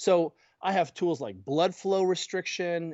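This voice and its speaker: A man with an animated tone. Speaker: physical therapist and mobility coach. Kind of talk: podcast interview. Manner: fast.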